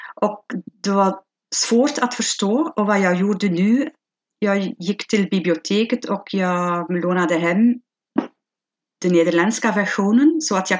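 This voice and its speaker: A woman with a Flemish accent at a fairly slow pace. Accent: Flemish accent in Swedish. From Belgium (Flanders). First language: Flemish Dutch (speaking Swedish). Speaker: language learner. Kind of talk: interview. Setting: video call. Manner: halting.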